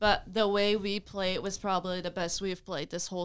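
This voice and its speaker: On a very clean recording with a silent background, a woman with a Belgian accent speaks fairly quickly in a monotone, flat way. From Belgium. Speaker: college field hockey player. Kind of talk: interview.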